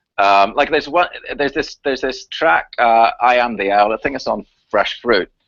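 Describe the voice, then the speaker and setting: In a Northern Irish accent, a man speaks at a moderate pace with a medium pitch and ordinary pitch variation. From Northern Ireland, Belfast. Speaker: chemtrails activist and researcher. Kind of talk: interview on live talk radio. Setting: live radio show. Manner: animated.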